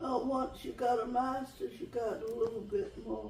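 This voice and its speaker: A woman with a North Carolina accent speaks at a moderate pace, her pitch high and her intonation lively. Audible room echo surrounds her voice. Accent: Southern US (North Carolina). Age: 80s+. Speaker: retired teacher. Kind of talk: interview. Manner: halting.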